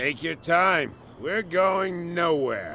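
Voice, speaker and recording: A man uses a put-on character voice that is high-pitched and raspy. Background noise is clearly audible. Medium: video game. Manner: sardonic.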